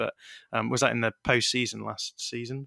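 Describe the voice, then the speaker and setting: A man speaks at a moderate pace and medium pitch with an English accent, his tone bright and sharp. The recording is very clean, dry and close, with no echo and a silent background. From England. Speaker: baseball podcaster. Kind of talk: interview.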